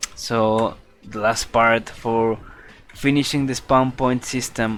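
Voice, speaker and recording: The speaker has a Spanish accent and talks at a very slow pace. Music plays in the background. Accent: non-native English, Spanish. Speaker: game modder streaming development. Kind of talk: live stream chat. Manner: halting.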